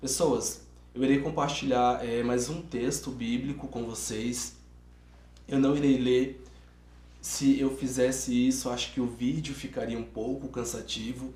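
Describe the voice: A man's hoarse, put-on character voice at a medium pitch, monotone and flat in intonation, at a moderate pace with audible echo.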